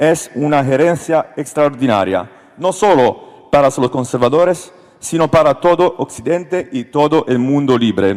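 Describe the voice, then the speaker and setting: A man speaks with an Italian accent. His pitch is fairly high, with ordinary variation. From Italy. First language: Italian (speaking Spanish). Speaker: politician. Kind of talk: panel discussion speech, partly read. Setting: stage with audience. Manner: halting.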